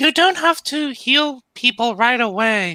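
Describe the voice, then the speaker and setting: In a put-on character voice, a man speaks at an extremely high pitch with lively intonation, the sound dry and close with no echo. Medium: read story. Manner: warm and supportive.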